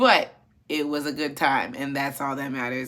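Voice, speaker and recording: An animated woman speaks in a bright, sharp tone. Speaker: commentary YouTuber. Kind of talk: casual commentary. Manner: halting.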